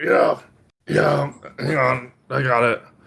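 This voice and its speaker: Using a raspy put-on character voice, a man talks at a medium pitch. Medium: actual play. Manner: warm, rambling, repeats words, calls people babe.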